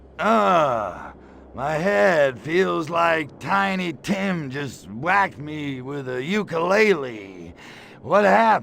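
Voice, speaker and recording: Over clear background noise, a man does a put-on character voice at a fairly high pitch and a very slow pace. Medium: video game. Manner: brash, wisecracking.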